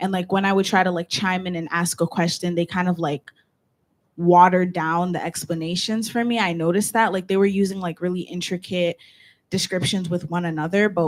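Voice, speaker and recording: With a plain, everyday voice, a woman speaks at a fairly quick pace and fairly low pitch with fairly even intonation, in a dry, close sound with no echo. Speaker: student senator. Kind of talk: student government meeting discussion. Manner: casual, filler-heavy speech.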